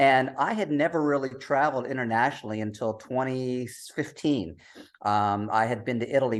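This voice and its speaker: In a quiet background, a man with an American accent talks at a fairly quick pace, with ordinary pitch variation. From US. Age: 60s. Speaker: travel writer, digital nomad. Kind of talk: podcast interview.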